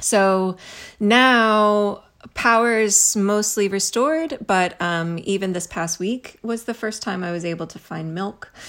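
On a very clean recording with a silent background, a woman speaks in a plain, everyday voice with an American accent, a medium pitch, ordinary pitch variation, big swings in loudness and a fairly slow pace. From US Midwest, Missouri. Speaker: author and professor. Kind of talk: casual chat.

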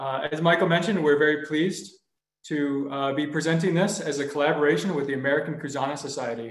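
Delivered at a fairly quick pace, this is an unremarkable speaking voice. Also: man. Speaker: webinar moderator. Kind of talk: moderating, introducing speakers. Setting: video call.

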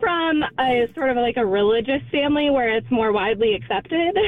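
A woman with an American accent speaks at a moderate pace and a high pitch. Her intonation is lively, and there is noticeable background noise. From Florida. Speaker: radio entertainment news host. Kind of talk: casual chat. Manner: animated.

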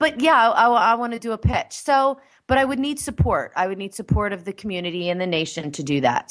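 In an animated tone, a woman speaks at a very fast pace with very wide pitch swings. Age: 40s. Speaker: talk radio host. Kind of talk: casual chat.

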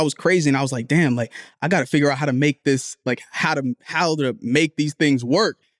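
In a dry, close sound with no echo, a man with a fairly high pitch and an unremarkable speaking voice talks at a fairly quick pace with ordinary pitch variation. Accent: American. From New Jersey, Liberian family. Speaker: podcast co-host. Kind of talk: casual chat.

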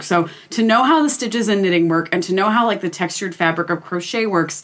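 A woman speaks in an unremarkable speaking voice. Her pace is fairly quick and her intonation lively. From Pennsylvania. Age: 20s. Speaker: podcast guest. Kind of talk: casual chat.

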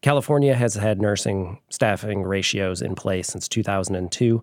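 In a very clean recording with a silent background, a man with a fairly low pitch speaks in an unremarkable speaking voice with ordinary pitch variation. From southwest Michigan, US. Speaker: hospital association lobbyist. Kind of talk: casual interview.

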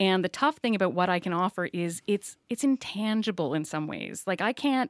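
In an ordinary speaking voice, a woman talks fairly quickly at a fairly low pitch with ordinary pitch variation, captured in a very clean recording with a silent background and a dry, close sound with no echo. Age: 40s. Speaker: journalist and media consultant. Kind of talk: casual interview.

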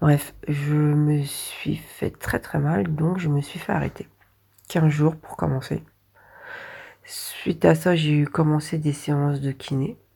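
Very slowly and with long, frequent pauses, a woman talks in a very deep, low pitch, her somewhat breathy voice dark and mellow in tone with fairly even intonation. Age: 40s. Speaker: warehouse order picker, patient. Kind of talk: patient testimony.

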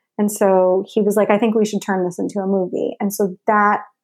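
An American accent with music playing in the background. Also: woman. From New York (Westchester suburbs). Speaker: actress and filmmaker. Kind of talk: casual interview chat.

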